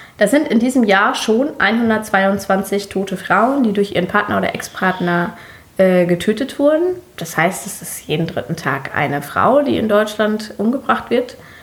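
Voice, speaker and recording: Amid noticeable background noise, a woman at a medium pitch speaks at a fairly slow pace with lively intonation. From Germany. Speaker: podcast co-host. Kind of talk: casual chat.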